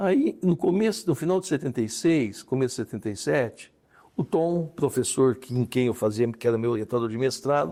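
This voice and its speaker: A man's medium-pitched voice with a dark, mellow tone, lively intonation and a moderate pace. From interior of São Paulo state, Brazil. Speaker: retired judge. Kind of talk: interview.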